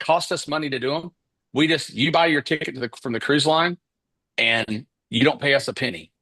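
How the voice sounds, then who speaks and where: A man with a Kentucky accent and a bright, sharp tone talks at a fairly quick pace with ordinary pitch variation, the sound dry and close with no echo over a quiet background. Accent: Southern US (Kentucky). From Kentucky, Paducah. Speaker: business coach. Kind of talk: live webinar presentation. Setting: livestream. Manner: casual, conversational.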